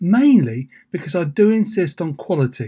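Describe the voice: At a moderate pace, a man with a high pitch speaks in a dark, mellow tone that has a slightly husky edge.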